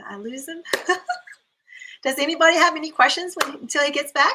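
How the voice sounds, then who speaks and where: A woman talks at a fairly quick pace in a raised, projected voice. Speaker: optometrist, guest speaker. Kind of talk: online panel talk. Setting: live video stream. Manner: fast when passionate; animated.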